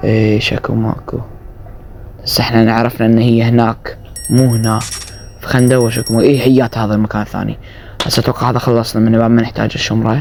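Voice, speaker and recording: Against noticeable background noise, a man talks at a fairly quick pace. His voice sits at a medium pitch with monotone, flat intonation. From Iraq. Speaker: gaming streamer. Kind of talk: gameplay commentary.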